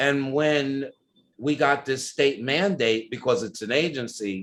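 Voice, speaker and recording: A man with an American accent, fairly high in pitch, with lively intonation. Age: 60s. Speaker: ballroom culture pioneer. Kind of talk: interview. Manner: animated.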